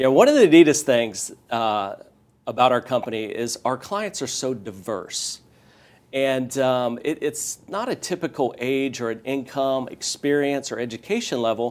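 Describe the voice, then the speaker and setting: In an American accent, a man talks at a fairly slow pace with medium pitch and ordinary pitch variation, in an unremarkable speaking voice. The recording is very clean, with a silent background. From US, Northern Virginia. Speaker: real estate educator. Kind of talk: interview.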